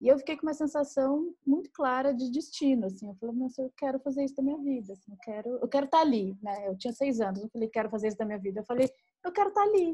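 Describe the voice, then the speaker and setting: Speaking very fast with lively intonation, a woman's high yet dark, mellow voice shows big swings in loudness. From Brazil, Minas Gerais. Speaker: writer and podcast co-host. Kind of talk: casual chat.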